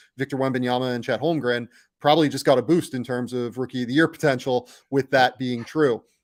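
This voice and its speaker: A man with a plain, everyday voice talks at a fairly quick pace and a medium pitch, his intonation fairly even, in a dry, close sound with no echo on a very clean recording with a silent background. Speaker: basketball podcast host. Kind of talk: podcast discussion.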